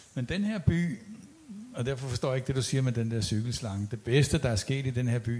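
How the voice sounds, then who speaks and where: Here a man speaks with a dark, mellow tone that is somewhat breathy. He keeps a moderate pace and ordinary pitch variation. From Copenhagen. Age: old. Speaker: audience member, architecture activist. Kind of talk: panel debate.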